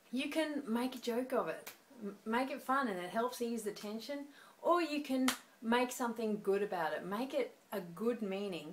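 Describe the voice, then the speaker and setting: In an Australian accent, a woman speaks at a moderate pace with a fairly high pitch. Her intonation is lively, and there is noticeable background noise. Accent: Australian, noticeable to Americans. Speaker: speaking coach. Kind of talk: tutorial. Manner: conversational.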